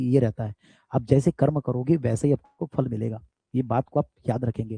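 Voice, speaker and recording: The sound is dry and close, with no echo. A man talks in a dark, mellow tone. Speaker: teacher. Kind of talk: lecture. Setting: live stream. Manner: loud; animated.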